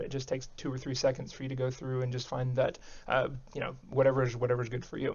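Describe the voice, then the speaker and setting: Very fast speech in an American accent. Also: man. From Texas. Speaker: tech YouTuber. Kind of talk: casual Q&A to camera. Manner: halting, many fillers and repeats.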